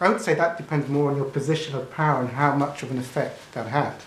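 Fairly quick speech from a man amid audible room echo. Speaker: spiritual teacher. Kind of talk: casual teaching monologue. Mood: amused, laughing often. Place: home room. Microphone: camera far.

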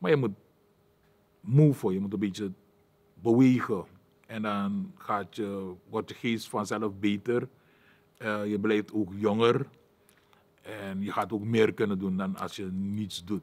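Speaking very slowly with long, frequent pauses, a man uses a fairly low pitch and fairly even intonation. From Suriname. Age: 60s. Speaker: martial arts fighter; interviewee. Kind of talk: personal life story monologue; interview answer. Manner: halting, many filler sounds. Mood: calm, reflective, encouraging. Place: studio.

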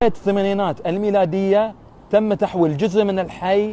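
At a moderate pace, a man speaks in a dark, mellow tone, the sound dry with no echo. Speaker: local reporter vlogger. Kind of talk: walking report narration. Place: street. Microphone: phone near.

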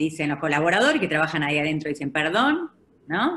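A woman speaks with an Argentine accent. Her voice is fairly low. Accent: Argentine Spanish (Rioplatense). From Argentina. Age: 50s. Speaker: advertising executive; speaker. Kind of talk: webinar presentation; webinar talk and Q&A answers. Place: home room. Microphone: video call.

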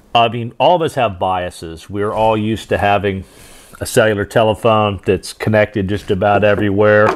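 A man has an ordinary speaking voice, fairly low in pitch, at a moderate pace with ordinary pitch variation. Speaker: radio communications instructor. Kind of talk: tutorial. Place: home room.

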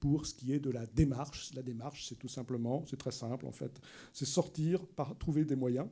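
A man with a dark, mellow tone speaks at a fairly high pitch, his pitch varying in an ordinary way against a quiet background. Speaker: anthropologist and prehistorian giving a lecture; prehistorian giving a lecture. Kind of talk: public lecture. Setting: library lecture hall with audience. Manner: lively. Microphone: podium.

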